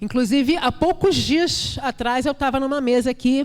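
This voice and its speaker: Fairly slow speech from a woman with a high-pitched voice. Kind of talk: panel discussion. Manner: repetitive hesitations.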